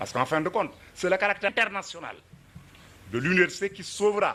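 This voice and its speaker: Talking at a very fast pace yet with long, frequent pauses, a man uses a high-pitched voice and lively intonation. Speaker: professor, former student activist. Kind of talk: commemorative lecture. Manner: hesitant, with fillers and repetitions.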